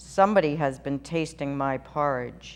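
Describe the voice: A put-on character voice at a low-to-middle pitch.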